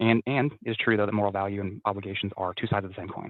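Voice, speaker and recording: The speech moves at a very fast pace. Its intonation is monotone and flat. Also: man. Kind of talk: casual discussion. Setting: at work, online call. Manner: fast, not loud.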